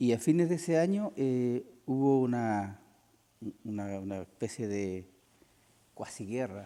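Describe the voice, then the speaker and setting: Lively in intonation, a man with a medium pitch and a dark, mellow tone speaks at a fairly slow pace with long, frequent pauses. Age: 60s. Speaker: war veteran. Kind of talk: interview.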